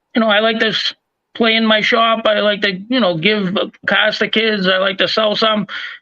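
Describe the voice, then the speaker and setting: A man's high, raised and projected voice at a moderate pace, with fairly even intonation. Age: 60s. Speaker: diecast collector and channel host. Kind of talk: casual chat. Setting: live stream.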